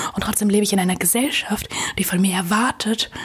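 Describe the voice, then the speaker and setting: There is noticeable background noise as a woman talks. She speaks at a medium pitch and a moderate pace. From Germany, Münster. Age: 20s. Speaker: blogger and inclusion activist. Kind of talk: interview conversation. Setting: hotel room.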